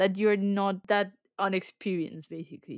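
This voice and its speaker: A woman speaks at a moderate pace in a Spanish accent. The recording is very clean, with a silent background and a dry, close sound with no echo. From Colombia. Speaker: graduate engineer. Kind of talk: casual chat.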